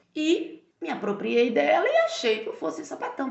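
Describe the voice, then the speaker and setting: Audible room echo and noticeable background noise surround the speech. A woman talks at a moderate pace. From Brazil, Minas Gerais (Barbacena). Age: 30s. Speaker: university language teacher and translator. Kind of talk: casual interview.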